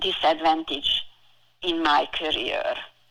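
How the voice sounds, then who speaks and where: A woman with a strong Hungarian accent, very slow, her bright, sharp tone rising and falling in very wide pitch swings. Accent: heavy Hungarian. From Hungary. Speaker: financial advisor. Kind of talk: interview. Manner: halting.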